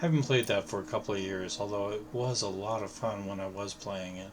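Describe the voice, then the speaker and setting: A man with a fairly low pitch speaks in a somewhat breathy voice, with audible echo from the room. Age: 60s. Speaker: video game streamer. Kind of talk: casual live gameplay commentary. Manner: halting, with filler words.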